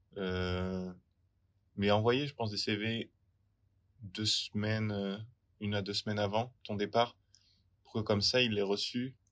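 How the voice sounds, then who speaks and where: On a very clean recording with a silent background, a man talks very slowly in a flat monotone, with long, frequent pauses and big swings in loudness. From France, rural area near Poitiers. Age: 20s. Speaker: working holiday traveller. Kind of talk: interview testimony.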